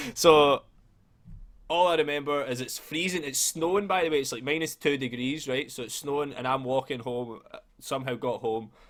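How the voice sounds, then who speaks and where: In a Scottish accent, a man speaks with an animated tone at a moderate pace, his pitch fairly high with ordinary pitch variation. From Scotland. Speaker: podcast host. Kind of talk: casual chat.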